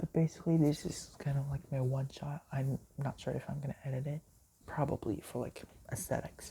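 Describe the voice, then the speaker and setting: Someone talks in a whisper. The words come at a fairly quick pace. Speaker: vlogger, movie reviewer. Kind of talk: casual review monologue. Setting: at home at night. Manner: whispering.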